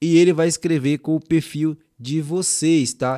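A man speaks at a fairly slow pace with a fairly high pitch and ordinary pitch variation, in a dry, close sound with no echo on a very clean recording with a silent background. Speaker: youtube tutorial creator. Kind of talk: screen-share tutorial. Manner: casual, colloquial.

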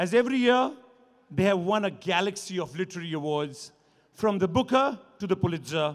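A man talks fairly quickly over a quiet background. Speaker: event host. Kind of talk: formal welcome address. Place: stage. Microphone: podium.

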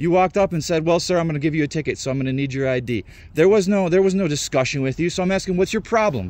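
Talking at a very fast pace, a man with a high pitch and ordinary pitch variation is heard in a dry sound with no echo. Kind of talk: argumentative confrontation. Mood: frustrated, defiant. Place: open country. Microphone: phone near.

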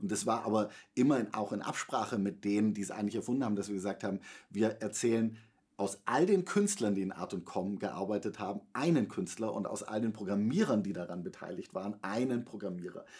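The background stays quiet. A man talks fairly quickly, with ordinary pitch variation. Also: fairly low pitch for a man. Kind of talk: interview answer. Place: studio.

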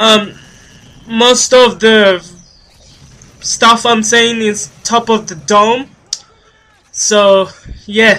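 Very slowly, a man speaks in a raised, projected voice at a high pitch with monotone, flat intonation. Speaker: gaming youtuber. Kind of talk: gameplay commentary. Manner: halting, many fillers.

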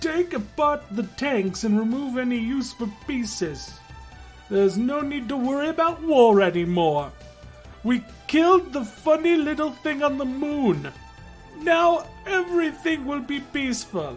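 A put-on character voice over clear background music. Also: man, moderate pace. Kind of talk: comic overacting. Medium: virtual streamer. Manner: loud, brash.

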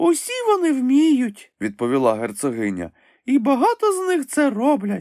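A man puts on a character voice at an extremely high pitch, and it sounds hoarse. His pace is moderate. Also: very clean recording, silent background. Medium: read story. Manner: curt and brusque.

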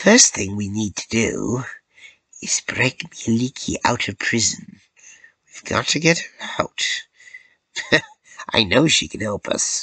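Putting on a gruff, raspy character voice at a medium pitch, a man speaks at a fairly slow pace. Long, frequent pauses break up his lines. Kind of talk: bedtime story. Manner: grumpy, gruff, impatient.

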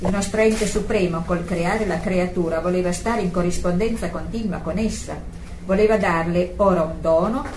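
A woman speaks over noticeable background noise. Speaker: prayer group participant. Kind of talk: reading aloud.

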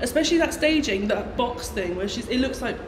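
A woman talks with lively intonation. Noticeable background noise is present. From English Midlands. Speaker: pop contest commentator. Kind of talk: casual chat. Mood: excited, chatty. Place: shop. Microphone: phone near.

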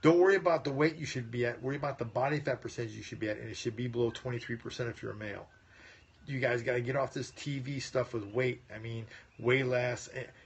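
A man talks at a fairly quick pace, his loudness swinging widely. His pitch varies in an ordinary way, and his voice is somewhat breathy. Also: medium pitch for a man. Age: 50s. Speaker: chiropractic health doctor; health educator. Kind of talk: live stream Q&A. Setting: phone livestream. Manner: casual. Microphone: phone near.

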